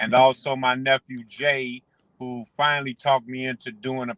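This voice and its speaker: A man's voice at a medium pitch. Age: 60s. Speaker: former street hustler turned cannabis entrepreneur. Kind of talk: podcast interview, casual chat. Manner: halting, many fillers.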